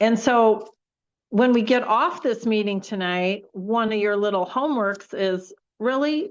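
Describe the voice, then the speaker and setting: A woman speaks in a normal speaking voice at a fairly high pitch and fairly slow pace. Her pitch variation is ordinary, and the background is quiet. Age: 60s. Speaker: personal development trainer. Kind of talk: online training session. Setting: video call. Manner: conversational, with frequent fillers.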